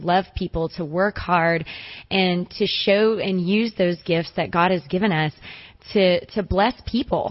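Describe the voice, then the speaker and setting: This woman has a normal speaking voice. Her pitch sits in the medium range, and her intonation stays fairly even. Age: young. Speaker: basketball coach. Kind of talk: radio interview.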